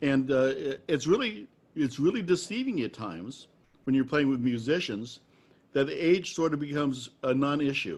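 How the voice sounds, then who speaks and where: At a moderate pace, a man with an American accent talks in an ordinary speaking voice, fairly high in pitch, with lively intonation. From US Midwest. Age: 60s. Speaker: trad jazz musician and interviewer. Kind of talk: casual interview.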